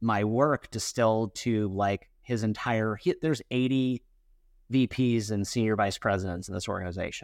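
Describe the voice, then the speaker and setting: At a moderate pace and medium pitch, a man uses an ordinary speaking voice over a quiet background. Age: 40s. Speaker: entrepreneur and company CEO. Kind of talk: interview.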